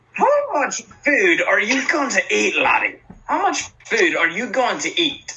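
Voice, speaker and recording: This is a put-on character voice at a high pitch. It moves at a fairly slow pace. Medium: actual play. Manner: hearty, jovial.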